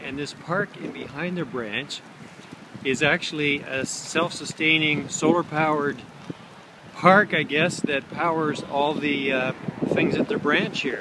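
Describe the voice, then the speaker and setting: A man speaks at a fairly slow pace. The sound is dry with no echo, but there is loud background noise. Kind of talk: casual vlog chat. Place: garden. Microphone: phone near.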